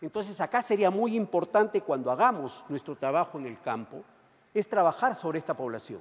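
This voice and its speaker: A man's pitch swings very widely while he keeps a moderate pace. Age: 60s. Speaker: psychiatrist and guest lecturer. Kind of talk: lecture.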